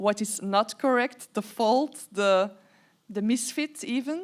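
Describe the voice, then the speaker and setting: A woman with a Dutch accent speaks fairly slowly at a fairly high pitch in a very clean recording with a silent background. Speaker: interviewer, writer. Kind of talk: live stage conversation. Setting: stage with audience. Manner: halting.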